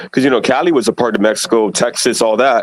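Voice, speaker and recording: The voice has lively intonation at a fairly quick pace. It sounds dry and close, with no echo. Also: man. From Puerto Rico, then the Bronx, New York. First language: Spanish. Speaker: guest on live stream. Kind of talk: casual chat.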